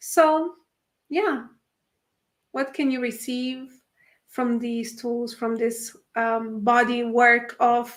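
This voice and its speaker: A woman's very slow speech with a non-native accent, high in pitch, fairly even in intonation, broken by long, frequent pauses, in a very clean recording with a silent background. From Italy. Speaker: spiritual workshop facilitator. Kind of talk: livestream talk. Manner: halting, many fillers.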